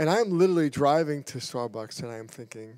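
A man with an American accent, fairly quick and with ordinary pitch variation, sounding dry with no echo over a quiet background. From New York. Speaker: pastor. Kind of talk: mission report. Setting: church. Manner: fast. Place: church. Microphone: handheld.

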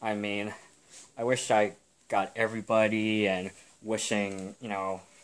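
The man's voice sits at a fairly low pitch. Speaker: student vlogger. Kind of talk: casual vlog chat. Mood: relaxed, smiling. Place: home room. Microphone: phone near.

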